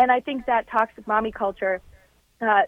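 The woman talks at a moderate speed with an unremarkable speaking voice. Her intonation stays fairly even and her pitch sits fairly high. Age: 20s. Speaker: political reporter. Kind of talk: radio interview.

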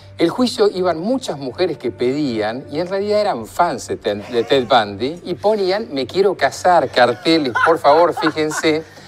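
Over noticeable background noise, a man with a fairly high pitch talks at a fairly slow pace, his pitch swinging very widely and hardly pausing at all. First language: English (speaking Spanish). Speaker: forensic psychiatrist. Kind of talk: casual chat.

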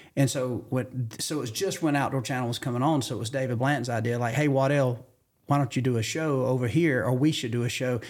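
The speech moves at a very fast pace. It comes with a Southern US accent. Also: man, medium pitch for a man. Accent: Southern US (Georgia). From US South, rural Georgia. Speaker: hunting TV host. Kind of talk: casual chat. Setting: studio.

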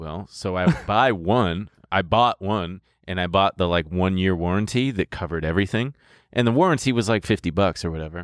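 A very deep, low-pitched man at a fairly quick pace with ordinary pitch variation, on a very clean recording with a silent background. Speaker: podcast host. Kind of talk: casual comedic banter. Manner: animated, sing-song jingle-humming and comic impression.

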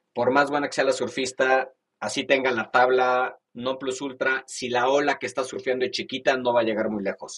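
A man with a medium pitch talks at a moderate pace, his intonation monotone, flat. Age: 50s. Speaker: venture capital investor. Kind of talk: interview.

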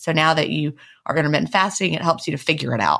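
A woman talks with vocal fry. The recording is very clean, with a silent background. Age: 40s. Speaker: podcast co-host and author. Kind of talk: casual chat. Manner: fast.

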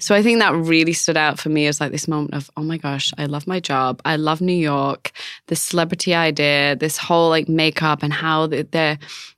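A woman with a Manchester accent, very deep and low in pitch, at a moderate pace with fairly even intonation and hardly any pauses. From northern England. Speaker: beauty brand co-founder and fashion correspondent. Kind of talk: casual interview chat.

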